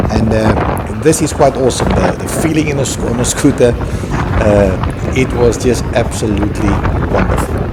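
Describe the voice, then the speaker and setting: A man talks at a moderate pace with lively intonation and a medium pitch. The room echo is audible, and background noise is noticeable. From South Africa. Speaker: travel vlogger. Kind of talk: travel vlog narration. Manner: hesitant, many fillers.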